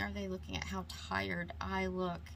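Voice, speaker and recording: Amid audible room echo, a woman with a very deep, low pitch talks at a moderate pace in a monotone, flat intonation. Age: 40s. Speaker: beauty YouTuber. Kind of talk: makeup tutorial. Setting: alone at home vanity, talking to camera. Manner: halting, stumbling over words.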